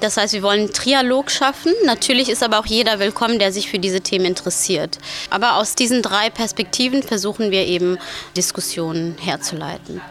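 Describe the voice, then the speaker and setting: A woman speaking at a fairly quick pace, with ordinary pitch variation, amid noticeable background noise. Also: medium pitch for a woman. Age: 20s. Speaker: student organizer. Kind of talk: interview soundbite.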